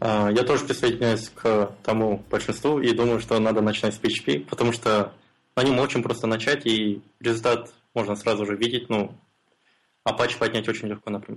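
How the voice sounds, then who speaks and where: A man at medium pitch with a normal speaking voice, moderate pace and fairly even intonation. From Kazakhstan, Almaty. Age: 20s. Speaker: freelance mobile and web developer. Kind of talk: casual interview.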